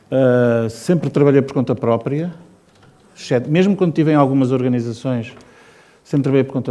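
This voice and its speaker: Dark, mellow tone in a medium-pitched male voice. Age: 60s. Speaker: designer and illustrator. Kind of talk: informal talk to students. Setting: presidential palace event with student audience.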